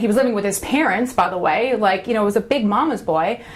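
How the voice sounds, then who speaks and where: An animated voice comes through over noticeable background noise. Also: woman. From Long Island, New York. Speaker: workshop speaker. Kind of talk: motivational workshop talk.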